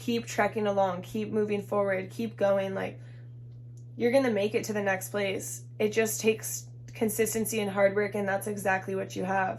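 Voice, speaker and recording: Somewhat breathy, a woman of medium pitch talks at a moderate pace with very wide pitch swings. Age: 20s. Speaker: tarot reader. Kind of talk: tarot reading. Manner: casual, filler-heavy.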